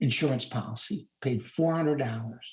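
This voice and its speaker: A man talks at a moderate pace in a somewhat breathy voice. His intonation is lively. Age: 70s. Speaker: retired rehabilitation counselor and administrator. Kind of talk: interview answer.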